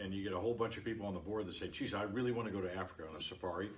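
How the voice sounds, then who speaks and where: At a very fast pace and with fairly even intonation, the speaker talks in an American accent over noticeable background noise. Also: man. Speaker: podcast / Facebook Live host. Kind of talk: interview host, casual talk to camera.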